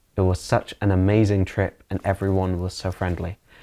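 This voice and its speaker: A man in a Manchester accent speaks in a very deep, low pitch with monotone, flat intonation, recorded very cleanly against a silent background. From northern England, Manchester area. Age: 20s. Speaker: English teacher. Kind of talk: interview.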